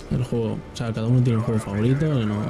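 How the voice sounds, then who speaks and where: Against noticeable background noise, a man at a medium pitch talks at a very fast pace with fairly even intonation. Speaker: gaming youtuber. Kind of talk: live gameplay commentary. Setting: home at night. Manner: quieter than usual; hesitant, filler-heavy.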